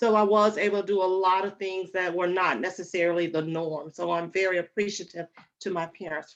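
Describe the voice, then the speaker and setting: This woman talks at a fairly quick pace with a slight Alabama accent. Her pitch is medium and her intonation fairly even. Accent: slight Alabama twang. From US South, Alabama. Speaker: relationship coach. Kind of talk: interview.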